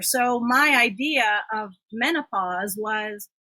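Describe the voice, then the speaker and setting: Her voice is raised and projected. This woman's intonation moves in a lively way. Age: 60s. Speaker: fitness and therapy professional. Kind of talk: interview.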